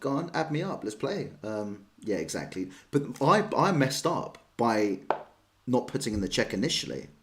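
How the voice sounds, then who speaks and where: At a moderate pace, a man with a London accent swings his pitch very widely. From London, England. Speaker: chess streamer. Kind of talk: live stream chat and chess commentary. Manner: casual, chatty.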